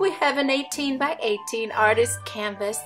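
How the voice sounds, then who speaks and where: With music in the background, a woman speaks at a fairly slow pace and fairly high pitch in an upbeat, enthusiastic tone. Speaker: craft tutorial host. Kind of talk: craft tutorial narration.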